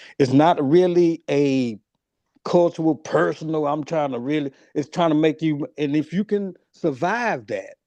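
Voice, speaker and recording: A man speaks at a moderate pace in a fairly high pitch with a dark, mellow tone. The sound is dry and close, with no echo, over a quiet background. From US. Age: 50s. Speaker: panelist. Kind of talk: casual panel debate.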